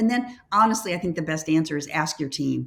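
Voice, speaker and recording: A woman speaks in an enthusiastic tone with lively intonation. Her voice is somewhat breathy. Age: 70s. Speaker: leadership consultant and former nurse. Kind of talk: interview conversation.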